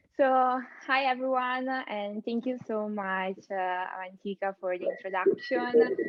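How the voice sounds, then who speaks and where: A woman speaks in an Italian accent, her pitch fairly high and her intonation lively. Her pace is fairly slow. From Italy. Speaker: AI content strategist, keynote speaker. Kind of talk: keynote presentation. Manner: hesitant, many fillers.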